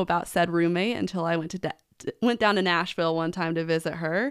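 In a very clean recording with a silent background, a woman with a Midwestern US accent speaks in a fairly low voice with ordinary pitch variation. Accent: US Midwest. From Nebraska. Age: 20s. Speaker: podcast co-host and event outreach coordinator. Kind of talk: casual interview.

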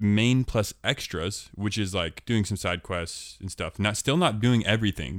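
Speaking in an unremarkable speaking voice, a man keeps a moderate pace, with fairly low pitch and ordinary pitch variation. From US Pacific Northwest (Portland, Oregon). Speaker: podcast host. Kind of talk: casual chat.

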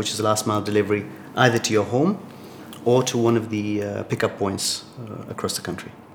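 Noticeable noise runs through the background. Over it, a man speaks fairly quickly. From Tanzania. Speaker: startup founder and CEO. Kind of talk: interview.

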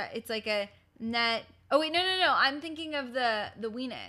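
Heard on a very clean recording with a silent background, a woman with an American accent has a bright, sharp tone and fairly high pitch. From US West Coast (Los Angeles). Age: 20s. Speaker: digital host and entertainment journalist. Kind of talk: casual chat.

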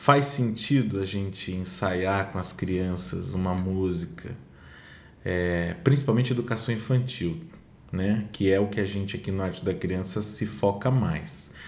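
A man with a fairly low pitch and ordinary pitch variation speaks at a fairly slow pace. Audible room echo surrounds his voice. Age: 40s. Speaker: children's music educator and performer. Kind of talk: casual chat.

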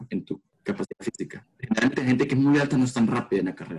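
In a dry, close sound with no echo, a man speaks with a Salvadoran accent and ordinary pitch variation. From El Salvador. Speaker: pole vaulter and university student. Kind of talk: interview.

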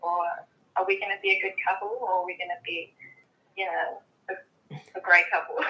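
Speaking at a fairly quick pace in a New Zealand accent, a woman with a medium pitch uses monotone, flat intonation broken by long, frequent pauses. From New Zealand, Samoan heritage. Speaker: podcast guest, friend of host. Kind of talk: casual chat.

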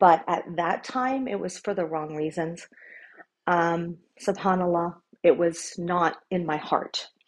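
In a normal speaking voice, a woman with an American accent talks at a fairly slow pace and a fairly low pitch. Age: 40s. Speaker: podcast host. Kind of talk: personal testimony.

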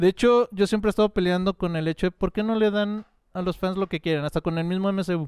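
Speaking at a very fast pace, a man with a Mexican accent uses a high pitch. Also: fairly even intonation. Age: 30s. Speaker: podcast guest, comics fan. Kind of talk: casual chat.

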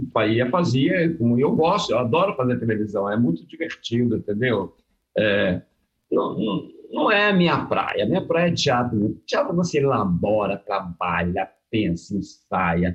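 A somewhat breathy man at a medium pitch, fairly slow, with very wide pitch swings and very even loudness. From Rio de Janeiro (born in Vitória, moved at 15). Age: 70s. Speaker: theatre actor. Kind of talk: casual interview.

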